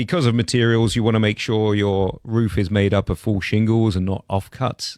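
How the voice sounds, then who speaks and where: In a British accent, a man with a fairly low pitch talks at a moderate pace on a very clean recording with a silent background. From London, England. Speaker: roofing contractor. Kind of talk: radio interview. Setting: studio.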